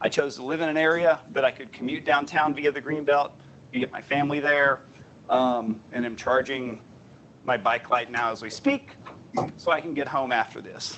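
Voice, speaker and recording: Over noticeable background noise, a man with a slight Southern US accent talks at a moderate pace in a fairly high pitch with fairly even intonation. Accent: slight Southern twang at times. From US South, Southern Appalachia. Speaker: transportation planner. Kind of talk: presentation.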